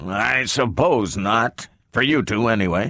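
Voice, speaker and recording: Putting on a gruff character voice at a medium pitch, a man speaks at a fairly slow pace. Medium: read story. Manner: gruff, peevish.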